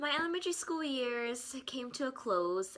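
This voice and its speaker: Playful and upbeat, a woman speaks with an American accent. Her pitch swings very widely. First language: Korean. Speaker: student. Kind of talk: scripted narration. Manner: playful, upbeat.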